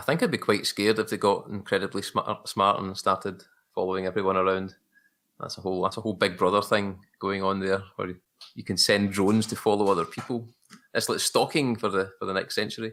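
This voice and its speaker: A man with a Glaswegian accent talks at a fairly quick pace. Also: fairly low pitch for a man. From Scotland, Glasgow. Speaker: photographer. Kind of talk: casual chat.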